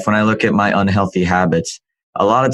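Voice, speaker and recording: In a normal speaking voice, a man talks at a moderate pace with fairly low pitch and fairly even intonation, the sound dry and close with no echo. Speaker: podcast host. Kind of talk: interview question.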